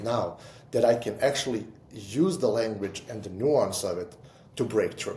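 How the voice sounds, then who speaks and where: A man with a non-native accent speaks at a moderate pace in a somewhat breathy voice. His tone is dark and mellow, with audible room echo. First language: not English. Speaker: entrepreneur and writer. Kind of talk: casual chat. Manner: halting, with repetitions.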